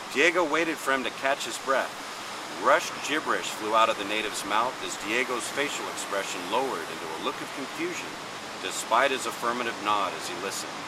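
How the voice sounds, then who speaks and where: Through noticeable background noise, a man talks at a fairly quick pace and medium pitch with lively intonation. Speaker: radio host. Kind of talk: horror story reading.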